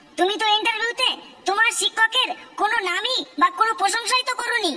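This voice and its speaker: This is a cartoonish character voice at an extremely high pitch. It moves at a moderate pace. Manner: probing, questioning.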